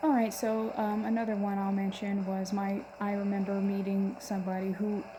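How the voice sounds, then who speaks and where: Background noise is noticeable here. Through it, a woman talks. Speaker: metal fan vlogger. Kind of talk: casual talk to camera. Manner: stuttering, hesitant.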